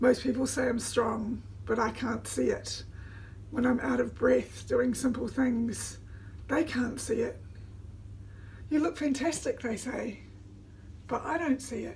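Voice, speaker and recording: A woman with a New Zealand accent, talking at a fairly slow pace with long, frequent pauses. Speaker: vlogger. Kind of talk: casual vlog talk. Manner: halting, many fillers.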